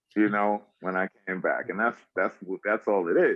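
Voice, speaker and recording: Speaking at a fairly slow pace, a man talks in a Bronx accent. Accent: Bronx accent, drawl. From South Bronx, New York City. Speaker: actor and poet. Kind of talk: interview answer.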